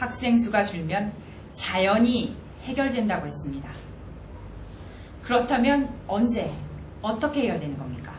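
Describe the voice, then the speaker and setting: Over noticeable background noise, a woman speaks fairly slowly at a fairly high pitch, with long, frequent pauses. Her voice shows very wide pitch swings and big swings in loudness. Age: 30s. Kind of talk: spokesperson press briefing.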